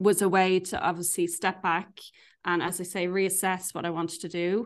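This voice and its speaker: With an Irish accent, a woman speaks at medium pitch against a quiet background. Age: 40s. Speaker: life coach. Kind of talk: casual chat.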